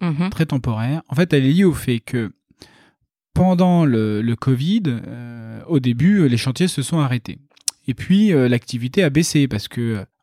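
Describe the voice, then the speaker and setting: Speaking fairly slowly with long, frequent pauses, a man with a fairly high pitch uses lively intonation over a dry, close sound with no echo. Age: 30s. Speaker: real estate developer. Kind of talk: interview.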